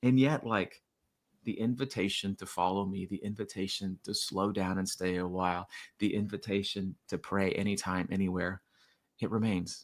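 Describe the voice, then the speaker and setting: In a very clean recording with a silent background, a man with an American accent speaks at a fairly low pitch with fairly even intonation. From Florida. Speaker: children's author and poet. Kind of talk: podcast interview. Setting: podcast. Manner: fast.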